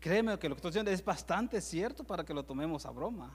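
On a very clean recording with a silent background, a man speaks at a moderate pace with a Salvadoran accent. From El Salvador. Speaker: preacher. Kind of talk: sermon. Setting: church.

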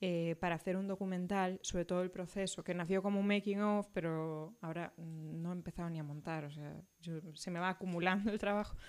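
An ordinary speaking voice from a woman, medium in pitch, with fairly even intonation, in a very clean recording with a silent background. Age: 30s. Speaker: film script supervisor. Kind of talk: casual chat.

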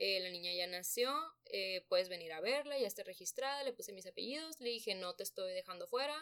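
A normal speaking voice from a woman, fairly high in pitch, with lively intonation at a fairly quick pace. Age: 20s. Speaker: young mother, nutrition graduate. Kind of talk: personal testimony in a podcast interview.

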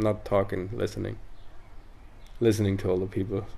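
A man speaks in a dark, mellow tone with vocal fry. His intonation stays fairly even. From northern Italy (South Tyrol, Dolomites). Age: 30s. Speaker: former pro snowboarder and artist. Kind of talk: casual interview chat.

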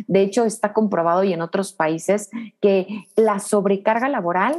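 A woman's normal speaking voice at medium pitch and a moderate pace, with ordinary pitch variation. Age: 30s. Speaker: business coach. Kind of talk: interview.

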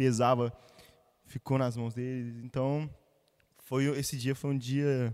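A man's voice at medium pitch. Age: 20s. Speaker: church musician. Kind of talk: casual chat.

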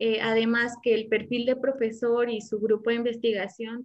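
A woman's fairly high voice in a Mexican accent, monotone and flat in intonation, at a fairly slow pace. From Morelia, Mexico. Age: 20s. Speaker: doctoral student. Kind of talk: casual interview chat. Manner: hesitant, many fillers.

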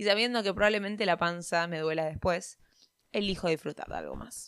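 A woman speaks with a Rioplatense accent. Her pitch is fairly low. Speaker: podcaster. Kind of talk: reading aloud. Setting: recording at home by day, sun on face.

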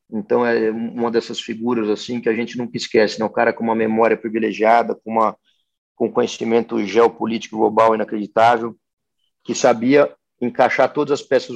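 A man talks at a fairly quick pace. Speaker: agribusiness executive. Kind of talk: interview. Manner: halting, many fillers.

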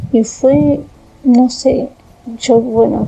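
The speaker is a woman with a fairly high pitch. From Argentina, Tandil. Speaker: storyteller sharing a personal experience. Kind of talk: personal testimony. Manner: halting, with many fillers and repetitions.

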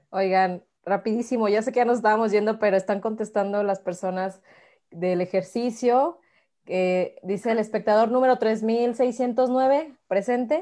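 In a Mexican accent, a woman talks at a fairly slow pace with a fairly high pitch, a dark, mellow tone and ordinary pitch variation, against a quiet background. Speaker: live stream host. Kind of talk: casual chat.

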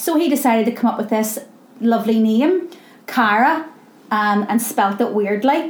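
Over noticeable background noise, a woman speaks at a moderate pace with a fairly high pitch, lively intonation and very even loudness. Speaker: charity founder and CEO. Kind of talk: casual interview. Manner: loud, animated, uses hands when talking.

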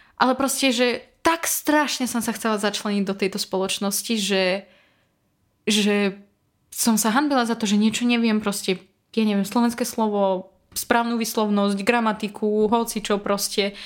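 Her normal speaking voice sits at a fairly high pitch as the woman talks at a moderate pace with fairly even intonation. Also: very clean recording, silent background. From Belarus. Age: 20s. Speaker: former conservatory student, marketing worker. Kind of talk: casual interview.

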